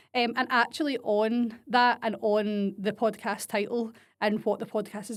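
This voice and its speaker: In a strong Glasgow accent, a woman speaks at a fairly high pitch on a very clean recording with a silent background. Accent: strong Scottish (Glaswegian). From Scotland, Glasgow area (Blantyre). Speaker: podcast host and business coach. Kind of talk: solo podcast monologue. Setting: home desk. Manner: casual, mixes Scots and English.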